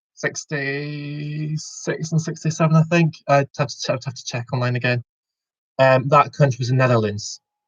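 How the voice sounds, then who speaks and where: A man's somewhat breathy, fairly high voice at a moderate pace, with fairly even intonation and big swings in loudness. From Scotland, Aberdeen. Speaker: quiz host. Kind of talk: online quiz hosting. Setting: video call.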